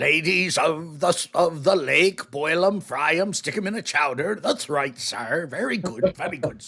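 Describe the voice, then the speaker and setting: A man's put-on character voice, high-pitched, at a moderate pace with hardly any pauses. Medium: actual play. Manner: folksy, polite, addresses people as sir.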